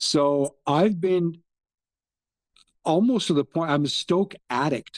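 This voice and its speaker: Speaking very slowly with long, frequent pauses, a man with a Canadian accent has a high pitch and ordinary pitch variation. His loudness is very even, and the sound is dry and close with no echo. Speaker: football fan. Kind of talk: casual chat.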